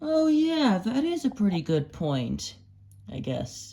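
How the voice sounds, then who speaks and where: Pitched fairly high, a put-on character voice unfolds at a fairly slow pace. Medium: audio drama.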